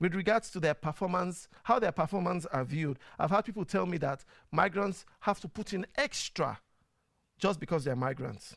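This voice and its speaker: With a Nigerian accent, a man talks in a high pitch with lively intonation on a very clean recording with a silent background. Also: moderate pace. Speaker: talk show host and media producer. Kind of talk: casual talk show monologue. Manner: conversational, frequent fillers and repetitions.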